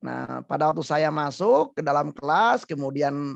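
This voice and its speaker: A man with a strong Sundanese accent speaks at a fairly slow pace against a quiet background. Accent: thick Sundanese. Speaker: psychologist. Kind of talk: webinar talk show interview. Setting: online webinar.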